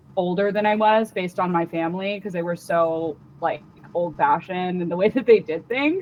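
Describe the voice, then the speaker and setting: A woman with an American accent has an ordinary speaking voice, medium pitch, ordinary pitch variation and a moderate pace. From Washington DC area. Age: 20s. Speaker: comedian. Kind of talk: casual interview chat. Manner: casual, filler-heavy.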